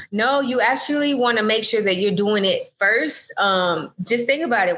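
A fairly quick American accent with a bright, sharp tone and ordinary pitch variation. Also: woman. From US South, Jacksonville, Florida. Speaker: trademark lawyer. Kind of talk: interview.

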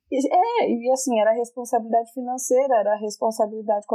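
The sound is dry and close, with no echo. A woman speaks at a moderate pace in a fairly high, dark, mellow voice with ordinary pitch variation. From Brazil, Minas Gerais. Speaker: teacher. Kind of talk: casual chat.

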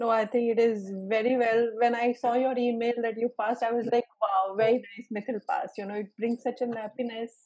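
Her Indian accent comes through as a woman talks at a fairly quick pace with hardly any pauses. Her pitch is fairly high and her intonation fairly even. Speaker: exam trainer and session host. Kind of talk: group Q&A session. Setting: video call.

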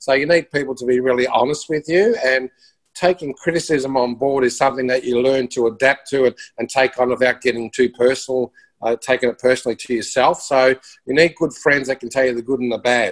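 A man with an Australian accent at a fairly quick pace, fairly even intonation, dry, close sound with no echo. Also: medium pitch for a man. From Melbourne, Australia. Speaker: musician and broadcaster. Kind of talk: casual interview.

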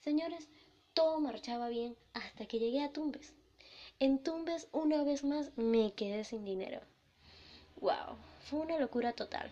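In an animated tone, a woman speaks at a fairly slow pace and high pitch, with ordinary pitch variation and long, frequent pauses. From Venezuela. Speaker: podcast host. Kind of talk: personal storytelling.

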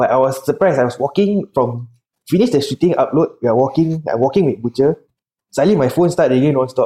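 A man speaks with a Singaporean accent at a very fast pace, his pitch fairly high and his intonation lively. His tone is dark and mellow, somewhat breathy, and his loudness stays very even. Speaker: bodybuilder and pro wrestler. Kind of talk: podcast interview. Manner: soft-spoken.

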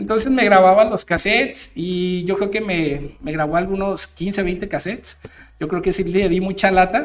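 The speaker talks at a fairly slow pace with a Mexican accent. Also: man, high pitch for a man, ordinary pitch variation. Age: 30s. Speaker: DJ and radio show host. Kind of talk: casual monologue. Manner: halting, many fillers and repetitions.

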